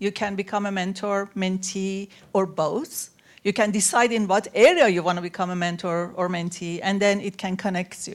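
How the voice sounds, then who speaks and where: On a very clean recording with a silent background, a woman with a non-native accent speaks at a medium pitch and a moderate pace, with fairly even intonation. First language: not English. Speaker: panel speaker, women-in-STEM mentorship organizer. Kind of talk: panel talk.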